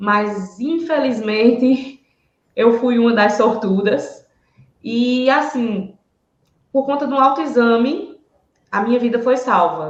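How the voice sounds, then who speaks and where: There is audible room echo around this woman's somewhat breathy voice. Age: 30s. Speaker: breast cancer survivor. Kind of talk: testimony.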